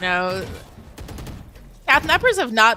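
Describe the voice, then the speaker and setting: A woman with a fairly high pitch speaks at a very slow pace over noticeable background noise. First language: French. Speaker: esports caster. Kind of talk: live commentary.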